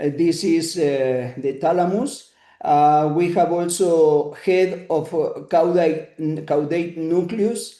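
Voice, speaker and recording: Speaking very slowly in a Spanish accent, a man with a high pitch and a dark, mellow tone shows ordinary pitch variation. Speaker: neuroanatomy lecturer. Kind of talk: lecture. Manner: halting, many filler sounds.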